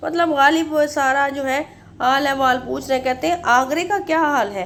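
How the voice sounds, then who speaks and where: This woman has a high pitch. Her pitch variation is ordinary. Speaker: Urdu literature teacher. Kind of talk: lecture. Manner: halting, many fillers.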